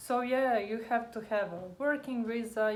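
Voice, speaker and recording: Audible room echo on a woman's fairly high-pitched voice. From Croatia. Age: 20s. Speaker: immigrant co-host. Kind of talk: casual chat. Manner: halting.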